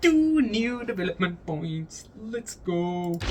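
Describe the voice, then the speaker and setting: Noticeable background noise behind a man with ordinary pitch variation. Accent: non-native. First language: not English. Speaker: gaming YouTuber. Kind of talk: casual gameplay commentary. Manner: halting, many repetitions and restarts.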